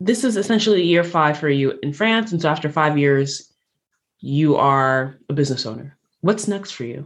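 In an American accent, a woman with a very deep, low pitch speaks at a moderate pace. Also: lively intonation. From New York City. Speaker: podcast host. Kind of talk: interview conversation.

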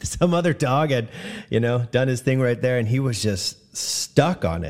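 With music in the background, a man talks at a fairly slow pace using lively intonation. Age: 40s. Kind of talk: casual devotional talk. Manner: casual with frequent fillers.

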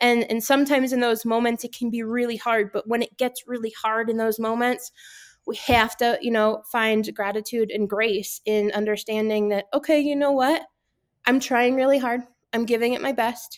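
An unremarkable speaking voice, a woman with an American accent talks at a moderate pace in a fairly high pitch with fairly even intonation. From Connecticut, US Northeast. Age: 30s. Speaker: business consultant and nonprofit director. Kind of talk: interview testimony. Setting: remote call.

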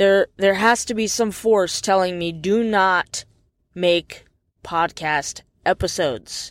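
This very clean recording has a silent background and a dry, close sound with no echo. A woman at a medium pitch talks at a very slow pace. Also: ordinary pitch variation. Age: 30s. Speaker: podcaster. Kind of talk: personal rant monologue.

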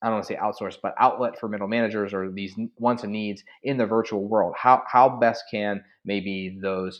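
A man talks in a normal speaking voice at a moderate pace. His pitch is fairly low and his intonation stays fairly even. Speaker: podcast host and adjunct professor. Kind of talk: interview, conversational podcast.

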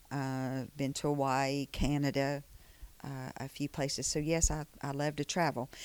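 In an Alabama accent, a woman speaks at a fairly slow pace with a very deep, low pitch and fairly even intonation, on a very clean recording with a silent background. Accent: Southern US (Alabama). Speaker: economic development manager. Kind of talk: interview.

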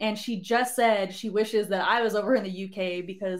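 A woman with an American accent speaks at a moderate pace in a normal speaking voice with ordinary pitch variation. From Southern California (Barstow). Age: 20s. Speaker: army drill instructor. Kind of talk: casual chat. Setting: live stream studio.

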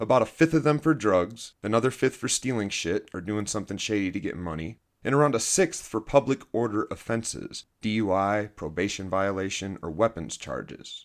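In a normal speaking voice with lively intonation, the speaker moves at a moderate pace with hardly any pauses in a very clean recording with a silent background. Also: man, fairly low pitch for a man. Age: 40s. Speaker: podcast host, former addict with a PhD. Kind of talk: personal monologue / scripted narration.

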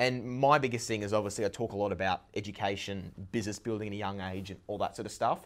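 A man's voice with an Australian accent and ordinary pitch variation. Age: young. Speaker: young entrepreneur. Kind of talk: podcast interview.

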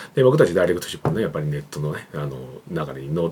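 Very deep and low, a man's voice rushes at a very fast pace with lively intonation. Noticeable background noise sits behind him. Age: 40s. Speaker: creative director and YouTube channel host. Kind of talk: solo business talk to camera. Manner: casual, filler-heavy with frequent ね and まあ.

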